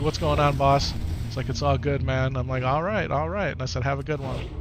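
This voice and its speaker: Music plays in the background as a man with an American accent talks at a medium pitch and a fairly quick pace. His voice makes very wide pitch swings, with audible room echo. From US Upper Midwest, Wisconsin. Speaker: video game streamer. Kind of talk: live gameplay stream chat. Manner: casual, repetitive chatty.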